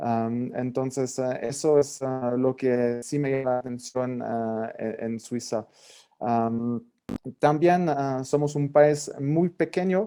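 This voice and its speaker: A man with a French accent speaks at a very slow pace in a medium pitch, his tone dark and mellow, with ordinary pitch variation. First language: French (speaking Spanish). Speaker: government representative. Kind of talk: panel presentation. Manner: halting, many fillers.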